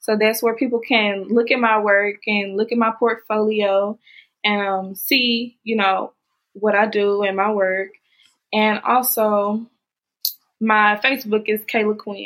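A woman speaks in a flat, monotone way with a Southern US accent. Her pitch is fairly high, and her pace is fairly slow. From Mississippi. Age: 20s. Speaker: makeup artist. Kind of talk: interview.

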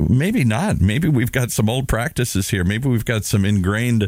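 In a very clean recording with a silent background, a man with an American accent and an unremarkable speaking voice talks at a fairly quick pace, his fairly low pitch showing ordinary variation. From US Midwest, Minnesota. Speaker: radio show co-host. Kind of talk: casual chat.

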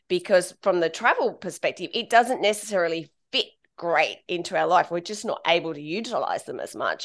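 A woman speaks in an Australian accent at a fairly quick pace, with big swings in loudness. The background is quiet. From Central Coast of Australia, small town. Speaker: travel blogger. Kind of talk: interview conversation.

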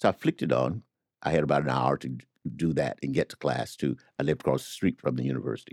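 A man with a Southern US accent talks at a very fast pace in a very deep, low pitch with vocal fry and ordinary pitch variation. The sound is dry and close, with no echo. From US South. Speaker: literary editor and academic. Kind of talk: casual chat.

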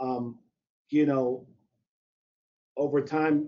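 A man speaks in an American accent at a very slow pace. His intonation is monotone and flat. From US Midwest, St. Louis, Missouri. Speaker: strength and conditioning coach. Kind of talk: interview about teaching. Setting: live webcast.

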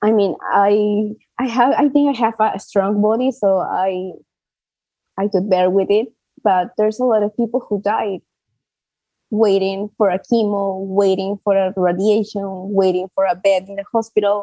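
A woman speaks at a moderate pace with medium pitch and fairly even intonation. Her tone is dark and mellow, and the sound is dry and close with no echo. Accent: Spanish. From Peru. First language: Spanish. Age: 20s. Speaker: patient advocate and cancer survivor. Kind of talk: interview. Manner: halting, with fillers.

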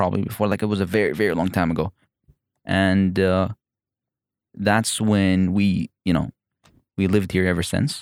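A man with a very deep, low pitch and an Emirati accent speaks at a moderate pace with long, frequent pauses, in a monotone, flat intonation at very even loudness. The recording is very clean with a silent background and a dry, close sound with no echo. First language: Arabic. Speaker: comedian. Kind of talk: casual chat. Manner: halting.

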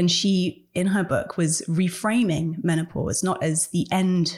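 The recording is very clean with a silent background. A woman speaks in a somewhat breathy voice at a fairly low pitch, a fairly slow pace and fairly even intonation. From England. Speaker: author. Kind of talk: interview.

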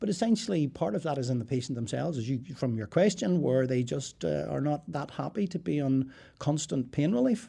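A man talks at a fairly quick pace with hardly any pauses, his fairly high pitch swinging very widely, his tone dark and mellow and somewhat breathy. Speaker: professor of geriatric medicine. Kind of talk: interview. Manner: halting.

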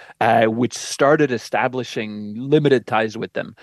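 Here a man speaks in a plain, everyday voice at a medium pitch and moderate pace. His intonation is fairly even, and the sound is dry and close with no echo. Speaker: professor of international affairs. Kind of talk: radio interview.

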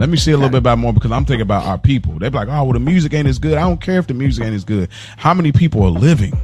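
Very wide pitch swings mark this man's very fast delivery, heard through noticeable background noise. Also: medium pitch for a man. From Detroit, US Midwest. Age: 30s. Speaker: podcast co-host. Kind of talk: casual chat.

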